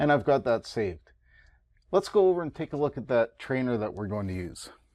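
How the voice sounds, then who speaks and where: A man with a Canadian accent, very wide pitch swings, a fairly quick pace and a quiet background. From Canada. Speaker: college instructor. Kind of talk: tutorial. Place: classroom.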